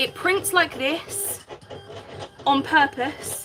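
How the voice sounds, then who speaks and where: There is music in the background. Over it, a woman speaks with lively intonation. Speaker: craft livestreamer. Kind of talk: live craft stream chat.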